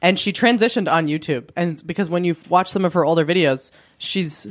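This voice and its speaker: Here is a normal speaking voice with ordinary pitch variation. It moves at a moderate pace. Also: woman. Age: 30s. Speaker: podcast co-host. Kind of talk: casual chat. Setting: home spare bedroom with handheld mics.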